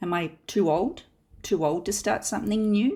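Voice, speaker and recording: Someone speaks at a moderate pace with an Australian accent and ordinary pitch variation. The recording is very clean, with a silent background. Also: woman. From Australia (Perth). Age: 50s. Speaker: podcast host. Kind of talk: scripted narration.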